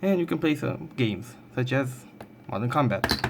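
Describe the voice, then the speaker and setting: A non-native accent comes through at a moderate pace. Noticeable background noise runs underneath. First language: not English. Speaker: tech YouTuber. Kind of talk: tutorial. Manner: halting.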